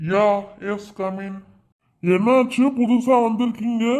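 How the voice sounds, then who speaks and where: A man puts on a cartoonish character voice, high-pitched and with fairly even intonation, at a very slow pace. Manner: authoritative.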